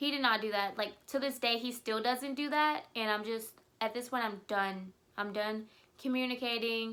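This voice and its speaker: A woman's fairly high, bright, sharp voice with fairly even intonation at a moderate pace. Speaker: single mom vlogger. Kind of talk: casual storytelling vlog.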